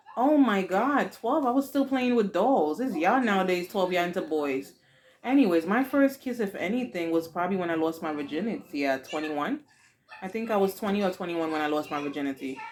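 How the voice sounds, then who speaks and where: A woman with a Haitian accent speaks at a medium pitch, her voice making very wide pitch swings. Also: fairly quick pace. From Haiti, raised in the US from age four. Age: 40s. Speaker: YouTube vlogger, mother. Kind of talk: casual Q&A chat with daughter; video outro. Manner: animated.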